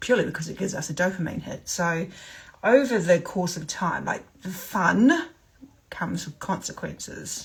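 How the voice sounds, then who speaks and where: A woman's voice with vocal fry and big swings in loudness, in a New Zealand accent. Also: medium pitch for a woman, ordinary pitch variation, moderate pace. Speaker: sobriety coach. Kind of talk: live stream talk. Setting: livestream. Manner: casual, many fillers.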